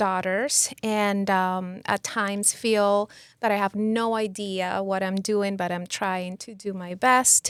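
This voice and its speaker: A woman with a Spanish accent at a very slow pace, on a very clean recording with a silent background and a dry, close sound with no echo. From Venezuela. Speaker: psychotherapist. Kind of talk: interview conversation.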